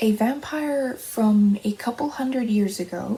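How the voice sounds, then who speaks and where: A woman whispering, soft-spoken, over noticeable background noise. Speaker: aspiring novelist. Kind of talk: ASMR soft-spoken rambling. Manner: soft-spoken, whispered.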